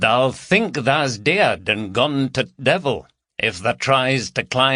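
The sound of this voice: Over a quiet background, there is an unforced reading voice.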